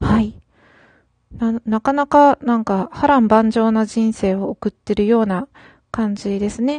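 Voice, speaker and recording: Somewhat breathy speech at a fairly slow pace, with ordinary pitch variation, long and frequent pauses, and a dry, close sound with no echo. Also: woman, fairly high pitch for a woman. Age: 30s. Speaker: solo podcaster. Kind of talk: casual solo talk. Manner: hesitant, frequent fillers.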